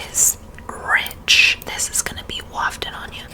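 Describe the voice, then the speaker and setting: Whispering is heard beneath noticeable background noise. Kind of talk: ASMR perfume review, casual talk to camera. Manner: soft, intimate, ASMR-style.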